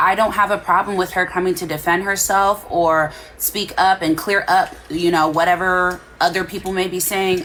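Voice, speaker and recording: A woman speaks at a moderate pace in a medium-pitched voice. Her intonation is monotone and flat, with noticeable background noise behind her. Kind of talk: casual chat. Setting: live stream. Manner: quiet.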